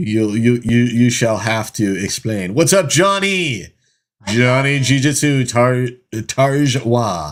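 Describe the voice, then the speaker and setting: The delivery is very slow in pace yet lively in intonation. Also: man, medium pitch for a man. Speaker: live stream host. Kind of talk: casual chat.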